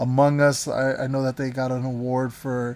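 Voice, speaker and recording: The speaker has an American accent. The pace is fairly slow and the intonation monotone and flat. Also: man. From Florida, Everglades. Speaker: gaming podcast host and streamer. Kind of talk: casual solo podcast monologue. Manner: halting, many fillers.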